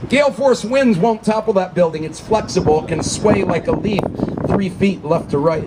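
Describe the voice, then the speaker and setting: Loud background noise runs through the clip. Over it, a man speaks at a fairly quick pace. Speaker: tour guide. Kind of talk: tour guide commentary. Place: boat.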